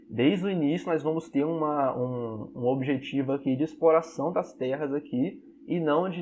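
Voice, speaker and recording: An ordinary speaking voice from a man, fairly high in pitch, with fairly even intonation and a moderate pace. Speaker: history teacher. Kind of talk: online class lecture.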